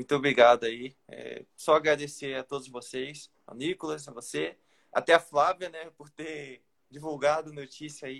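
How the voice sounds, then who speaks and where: A man talks at a moderate pace with a fairly high pitch. His intonation is fairly even, and he has an ordinary speaking voice. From Brazil, interior of Rio de Janeiro state. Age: young. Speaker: young road cyclist. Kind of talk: interview. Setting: live stream on Instagram.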